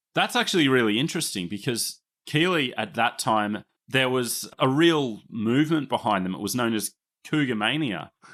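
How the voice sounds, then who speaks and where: On a very clean recording with a silent background, a man with an Australian accent speaks at a medium pitch and a moderate pace with lively intonation. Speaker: podcast host, rugby league historian. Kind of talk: casual chat.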